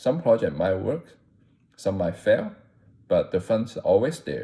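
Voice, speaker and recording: A man talks with a non-native accent. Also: very clean recording, silent background. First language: not English. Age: 40s. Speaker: content creator. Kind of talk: scripted narration. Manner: not a natural speaker.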